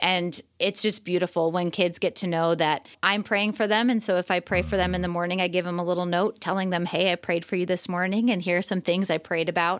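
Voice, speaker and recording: An ordinary speaking voice with an American accent moves at a fairly quick pace, with fairly even intonation and very even loudness. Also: woman, fairly low pitch for a woman, hardly any pauses. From US Midwest, Chicago suburbs. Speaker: teacher. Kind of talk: interview conversation.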